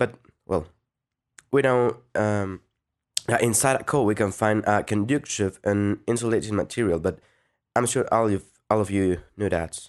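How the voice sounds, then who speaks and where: A man with a Spanish accent, fairly low in pitch, at a moderate pace with ordinary pitch variation, very even loudness and long, frequent pauses, against a quiet background. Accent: Spanish accent in English, non-native. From Mexico, Guadalajara. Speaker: audio engineering student. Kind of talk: tutorial. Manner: halting.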